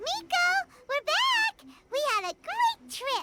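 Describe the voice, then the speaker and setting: Someone speaks in a put-on character voice. Loud music plays in the background. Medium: video game. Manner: friendly, upbeat.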